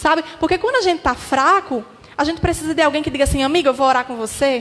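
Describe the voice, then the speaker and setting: A woman talks at a very fast pace in a high voice with ordinary pitch variation, over noticeable background noise. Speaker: pastor's daughter giving testimony. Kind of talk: testimony.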